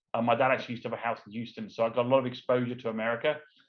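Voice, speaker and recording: A man talks at a very fast pace with an English accent. His medium-pitched voice stays monotone and flat. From London, England. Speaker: entrepreneur, former race car driver. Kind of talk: interview.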